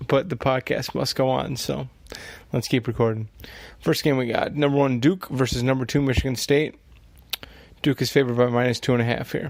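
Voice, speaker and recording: Quiet and fairly quick, a man's medium-pitched voice is broken by long, frequent pauses. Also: fairly even intonation. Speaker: sports betting podcast host. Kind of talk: solo podcast monologue. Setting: at home at night.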